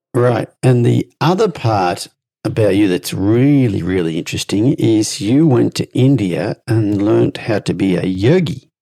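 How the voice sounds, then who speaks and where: Speaking with an Australian accent, a man keeps a fairly slow pace. His fairly low voice has lively intonation. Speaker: horse trainer and podcast host. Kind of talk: interview.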